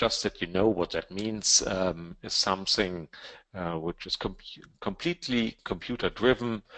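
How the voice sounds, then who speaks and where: A man with a German accent speaks at a fairly slow pace with lively intonation. The sound is dry and close, with no echo. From Germany. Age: 50s. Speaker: trading educator. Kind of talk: webinar presentation. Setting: online webinar. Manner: halting, many fillers.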